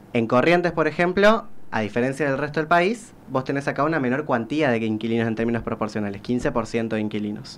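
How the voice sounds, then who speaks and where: This man has a medium pitch and lively intonation. He talks at a very fast pace. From Corrientes, Argentina. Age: 20s. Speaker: social sciences researcher and author. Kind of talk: radio interview answer. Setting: studio.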